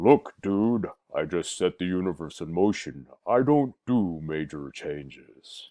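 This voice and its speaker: Using a put-on character voice with a very deep, low pitch, a man speaks at a fairly slow pace over a quiet background. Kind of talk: colloquial, dude-like. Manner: casual, humorous.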